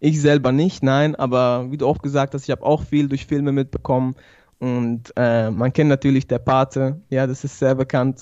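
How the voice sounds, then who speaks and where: A man speaks at a medium pitch and a moderate pace. His tone is dark and mellow, his intonation flat and monotone. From Switzerland, Basel. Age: 20s. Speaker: barber and YouTuber, convert to Islam. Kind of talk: interview testimony. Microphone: good audio equipment.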